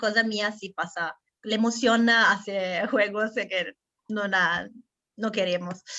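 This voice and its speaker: Speaking in an Italian accent, a woman keeps a medium pitch and a flat, monotone intonation. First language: Italian (speaking Spanish). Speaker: interviewer. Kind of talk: interview.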